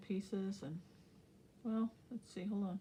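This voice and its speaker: A woman's somewhat breathy voice, dark and mellow in tone, at a fairly slow pace with monotone, flat intonation. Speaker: crafting YouTuber. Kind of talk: casual craft tutorial.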